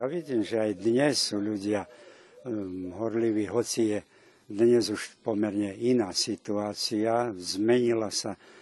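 The speech comes at a very slow pace. Its intonation is fairly even. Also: man. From Vojvodina, Serbia (Slovak minority, Kisáč). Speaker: Lutheran pastor. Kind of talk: interview.

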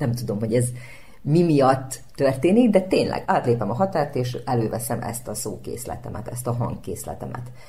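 With lively intonation and a very deep, low pitch, a woman talks at a moderate pace amid audible room echo. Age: young. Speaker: speech therapist and actress. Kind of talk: radio interview.

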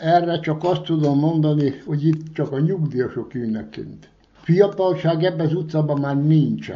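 A man talks at a fairly slow pace in a plain, everyday voice. His pitch is fairly high and his intonation fairly even. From Vojvodina, Serbia (Kishegyes). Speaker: retired former guest worker. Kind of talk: interview.

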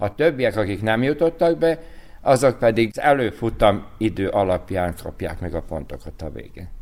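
At a moderate pace, a man of medium pitch speaks with very wide pitch swings and big swings in loudness. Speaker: cycling race organizer. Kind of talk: radio interview.

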